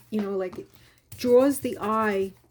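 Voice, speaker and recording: Speaking at a fairly slow pace in a Long Island accent, a woman uses a dark, mellow tone and fairly even intonation on a very clean recording with a silent background. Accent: Long Island accent, still noticeable. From Long Island, New York. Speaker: crafting YouTuber. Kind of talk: crafting tutorial. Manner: casual, chatty.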